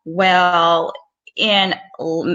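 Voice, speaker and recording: A woman talks with a Southern US accent. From US South. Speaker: physician and career coach. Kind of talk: advice talk. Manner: casual, with fillers.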